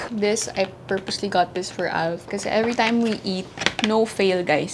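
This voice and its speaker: A woman at a fairly quick pace with fairly even intonation, over noticeable background noise. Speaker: lifestyle vlogger. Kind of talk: casual vlog chat. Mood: cheerful, laughing. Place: home room. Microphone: lapel.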